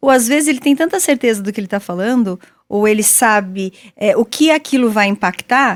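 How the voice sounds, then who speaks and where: Her pitch fairly high and her intonation lively, a woman talks at a fairly quick pace with a dry, close sound and no echo. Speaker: podcast host. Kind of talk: interview. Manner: fast, firm.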